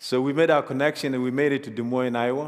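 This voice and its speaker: A man talks at a medium pitch with fairly even intonation. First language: African mother tongue (not English). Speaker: refugee sharing life story. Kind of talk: testimony.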